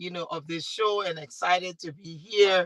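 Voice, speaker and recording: A speaker with a Liberian accent has a bright, sharp tone and monotone, flat intonation at a moderate pace. The sound is dry and close, with no echo. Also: woman. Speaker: talk show host and MC. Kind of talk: panel discussion.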